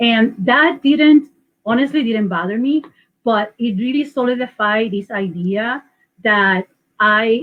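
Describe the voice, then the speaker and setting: Speaking at a very slow pace, a woman with a Puerto Rican accent uses lively intonation. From Puerto Rico. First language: Spanish. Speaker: local election candidate. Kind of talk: panel interview. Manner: halting.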